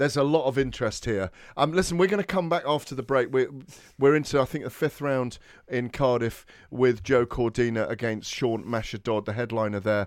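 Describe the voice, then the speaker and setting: In a British accent, a man speaks at a fairly quick pace and medium pitch on a very clean recording with a silent background. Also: ordinary pitch variation. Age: 40s. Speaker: boxing radio host. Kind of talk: sports radio talk show.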